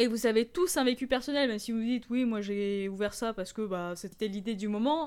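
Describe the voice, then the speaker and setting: Speaking at a fairly quick pace with hardly any pauses, a woman with a fairly high pitch uses ordinary pitch variation, recorded very cleanly against a silent background. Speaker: e-commerce podcast host. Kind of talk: solo tutorial podcast. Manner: animated.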